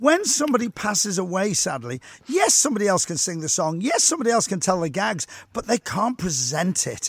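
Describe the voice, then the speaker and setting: At a fairly quick pace, a high-pitched man talks with very wide pitch swings. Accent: Liverpool. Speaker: radio host. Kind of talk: radio interview. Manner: exuberant.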